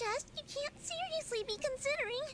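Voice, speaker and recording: At a moderate pace, a squeaky put-on character voice speaks at an extremely high pitch. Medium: video game. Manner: snarky, quick.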